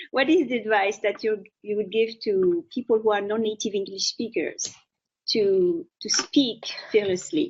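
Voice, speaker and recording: Speaking with a strong French accent, a woman uses a fairly high pitch and lively intonation at a fairly slow pace. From France. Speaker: interviewer, author and former journalist. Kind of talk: interview. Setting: live video stream.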